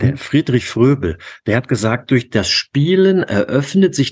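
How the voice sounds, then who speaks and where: A man's voice shows vocal fry and very wide pitch swings. The sound is dry and close with no echo, over a quiet background. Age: 50s. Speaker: youth basketball coach. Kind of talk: interview.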